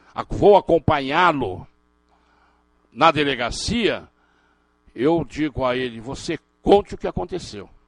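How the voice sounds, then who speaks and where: The sound is dry and close with no echo as a man speaks in a fairly high pitch with lively intonation. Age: 60s. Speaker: criminal defense lawyer and law professor. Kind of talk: lecture. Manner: animated.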